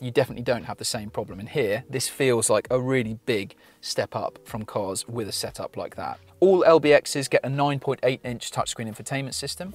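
The man speaks at a moderate pace. The sound is dry, with no echo. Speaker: car reviewer. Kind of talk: review presentation. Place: car. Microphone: lapel.

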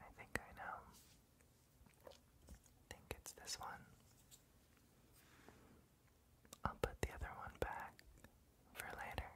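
Soft-spoken and whispering, the speaker goes at a very slow pace with long, frequent pauses. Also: man. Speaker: ASMR roleplay host. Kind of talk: soft spoken ASMR roleplay. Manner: soft intimate ASMR whisper. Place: home room.

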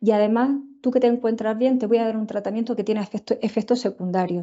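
Against a quiet background, a woman talks at a very fast pace in an Andalusian accent, her fairly high pitch holding a fairly even intonation. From Andalusia, Spain. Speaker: tropical medicine physician and researcher; presenter. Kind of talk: lecture. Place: home room. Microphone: earbuds.

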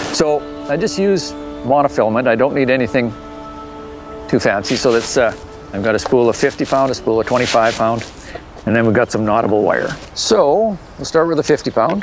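A man with long, frequent pauses, and clear music in the background. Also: moderate pace. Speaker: fishing guide showing knots. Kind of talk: tutorial. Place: open country.

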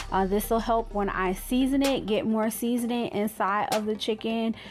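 A woman talks at a moderate pace over music in the background. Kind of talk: tutorial. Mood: friendly, relaxed. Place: kitchen. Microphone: phone near.

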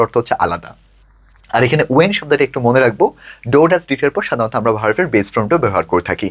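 The voice is a man's, medium in pitch. His intonation moves in a lively way. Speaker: English tutor. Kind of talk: lecture.

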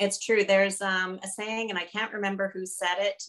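Against a quiet background, a woman with a Canadian accent speaks at a moderate pace and a medium pitch. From Canada. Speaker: podcast host, consultant; podcast host. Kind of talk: interview. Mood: warm, cheerful. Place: home room. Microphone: webcam.

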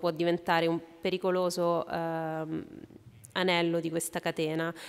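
A woman's fairly low voice at a moderate pace, in a flat monotone. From Italy. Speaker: journalist. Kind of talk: panel talk at a festival. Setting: stage with audience. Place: hall. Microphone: podium.

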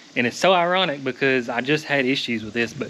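Over light background noise, a man talks fairly quickly in a bright, sharp tone. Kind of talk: casual vlog chat. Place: workshop. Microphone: phone near.

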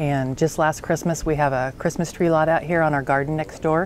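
A woman's very deep, low voice, dry with no echo, over light background noise. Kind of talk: interview answer. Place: garden.

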